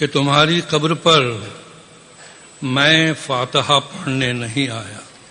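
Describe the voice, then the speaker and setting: A man's fairly high voice with ordinary pitch variation and long, frequent pauses, amid noticeable background noise. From India. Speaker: poet. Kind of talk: poet explaining his poem.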